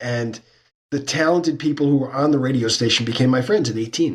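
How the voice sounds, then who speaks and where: A man with an American accent talks at a very fast pace in a somewhat breathy voice. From New York, Brooklyn. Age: 60s. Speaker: sports business consultant and lecturer. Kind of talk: interview conversation.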